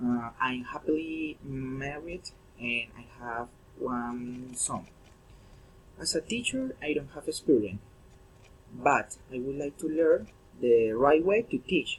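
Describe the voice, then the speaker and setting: Very slow speech in a Spanish accent with long, frequent pauses, ordinary pitch variation, big swings in loudness and noticeable background noise. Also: man. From Colombia, Girardot. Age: 30s. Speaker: English language student. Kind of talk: class presentation. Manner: halting.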